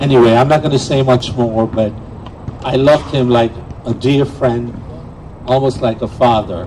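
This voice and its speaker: Against noticeable background noise, a man speaks at a moderate pace and medium pitch. His intonation is fairly even. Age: 70s. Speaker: table tennis player and memorial speaker. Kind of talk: memorial tribute speech. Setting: outdoor memorial event, live streamed.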